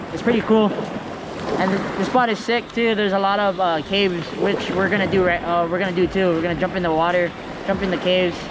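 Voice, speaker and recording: A man talks at a very fast pace. The sound is dry with no echo, but the background noise is loud. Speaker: vlogger. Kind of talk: casual vlog chat. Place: beach. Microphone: phone near.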